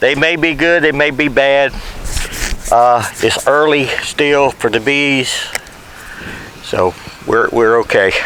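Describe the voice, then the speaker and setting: Amid noticeable background noise, a man with a Southern US accent and a fairly high pitch speaks at a very slow pace with long, frequent pauses, very even loudness and ordinary pitch variation. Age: 70s. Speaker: beekeeper. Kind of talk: tutorial. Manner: casual.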